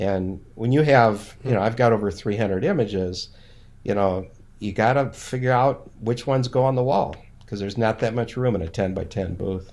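A man with an Upper Midwest accent speaks at a fairly low pitch. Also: ordinary pitch variation, moderate pace. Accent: Upper Midwest American. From Minnesota. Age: 60s. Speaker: landscape photographer and retired professor. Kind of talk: casual interview.

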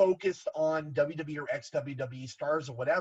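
The man talks with an American accent in a somewhat breathy voice, pitched fairly high. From Southern California (Garden Grove). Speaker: wrestling figure collector. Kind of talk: casual chat.

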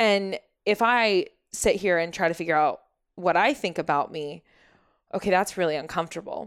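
On a very clean recording with a silent background, a woman with an American accent speaks in a plain, everyday voice. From Oklahoma (Shawnee), US. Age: 30s. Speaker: wellness coach, former realtor. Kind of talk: interview, personal story.

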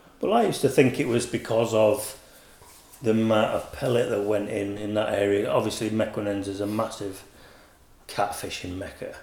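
With a Yorkshire accent, a man speaks at a moderate pace and fairly low pitch, his intonation fairly even, in audible room echo. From Yorkshire, England. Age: 40s. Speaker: carp angler, bait company manager. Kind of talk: casual chat.

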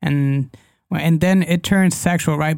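A man with a Spanish accent on a very clean recording with a silent background. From Mexico, Guadalajara. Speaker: life coach. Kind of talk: interview conversation. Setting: studio. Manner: halting.

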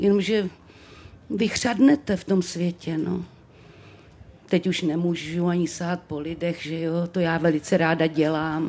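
This woman's voice sits at a fairly low pitch. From Czechia, Třebíč (Moravia). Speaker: actress. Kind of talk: live podcast interview. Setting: stage with live audience. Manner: expressive.

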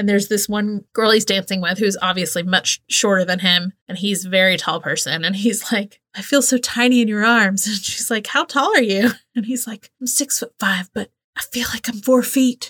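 With an American accent, the voice is bright and sharp in tone, moving at a moderate pace with hardly any pauses and ordinary pitch variation. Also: woman, medium pitch for a woman, dry, close sound with no echo. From US South. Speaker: podcast host. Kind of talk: casual chat.

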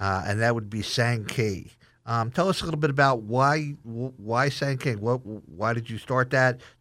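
A man with a plain, everyday voice at medium pitch, fairly slow pace and ordinary pitch variation, on a very clean recording with a silent background. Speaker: chef and culinary instructor. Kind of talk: interview. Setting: studio.

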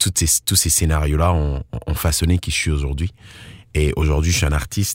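A man talks in a very deep, low pitch, keeping his intonation fairly even. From Ivory Coast. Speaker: slam and soul musician. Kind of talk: interview.

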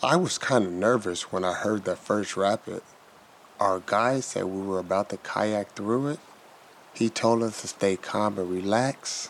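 A man with an American accent and a plain, everyday voice, fairly low in pitch with ordinary pitch variation, at a fairly slow pace. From US, Chicago. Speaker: blind kayaker. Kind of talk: storytelling narration. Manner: slow, simple.

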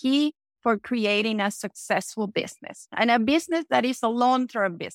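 A woman with a Venezuelan accent speaks at a fairly high pitch and moderate pace, with ordinary pitch variation, in a dry, close recording with no echo. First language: Spanish. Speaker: entrepreneur. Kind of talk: interview.

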